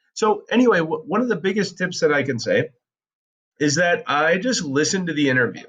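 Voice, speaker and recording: A man speaks at a fairly quick pace with a high pitch and lively intonation. The background is quiet. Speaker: podcast teacher; teacher demonstrating audio editing. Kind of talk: tutorial. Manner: casual, with filler words.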